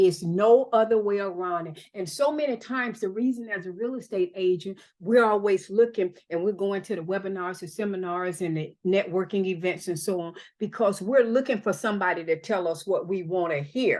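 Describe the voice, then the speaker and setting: A woman with a Southern US accent talks in an animated tone at a medium pitch with ordinary pitch variation. She hardly pauses, and the background is quiet. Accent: Southern US (Georgia). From US South, Georgia (Albany). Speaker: real estate broker and mentor. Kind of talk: training talk. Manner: fast.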